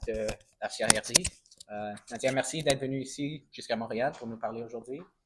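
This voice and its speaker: A man speaks at a moderate pace with a non-native accent. His pitch is medium and his intonation fairly even. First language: English (speaking French). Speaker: film interviewer. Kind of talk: interview. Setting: film festival. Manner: halting.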